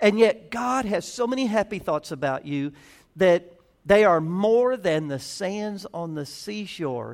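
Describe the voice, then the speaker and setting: Lively intonation marks a fairly slow delivery with a Southern US accent. The recording is very clean with a silent background. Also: man. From US South. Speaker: pastor. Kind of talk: sermon.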